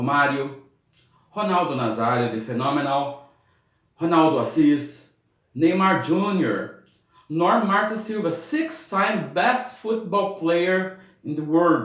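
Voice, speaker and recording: A man with a Brazilian accent and a high pitch speaks fairly slowly, with lively intonation and long, frequent pauses. Audible room echo surrounds his voice. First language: Portuguese. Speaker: YouTuber, sports historian. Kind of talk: reading a prepared script aloud. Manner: halting, with frequent fillers.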